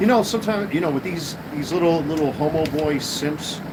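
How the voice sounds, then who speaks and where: A man with a slight New York accent talks at a fairly quick pace, with audible room echo and noticeable background noise. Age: 50s. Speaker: livestreamer, sports card seller. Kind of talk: livestream rant. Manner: animated.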